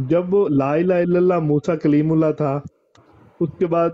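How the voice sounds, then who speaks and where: The man's intonation stays fairly even as he speaks at a very slow pace. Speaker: PhD student caller. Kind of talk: call-in question. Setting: call into online broadcast. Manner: halting. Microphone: video call.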